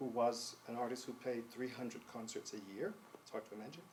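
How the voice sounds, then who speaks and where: Using ordinary pitch variation, a man with an American accent speaks at a medium pitch. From US South, North Carolina. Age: 60s. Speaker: composer. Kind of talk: interview. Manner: hesitant, with many fillers.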